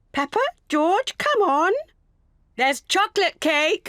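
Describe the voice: A cartoonish character voice, extremely high-pitched, at a fairly slow pace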